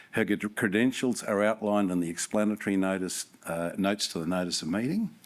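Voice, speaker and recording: A man with a New Zealand accent, fairly low pitch, fairly quick pace and fairly even intonation, over noticeable background noise. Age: 60s. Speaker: company chairman. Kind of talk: shareholders' meeting chairing. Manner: halting.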